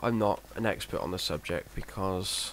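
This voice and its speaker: Over noticeable background noise, a man speaks at a fairly slow pace with a very deep, low pitch. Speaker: gaming video commentator. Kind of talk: let's play commentary. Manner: monotone; halting.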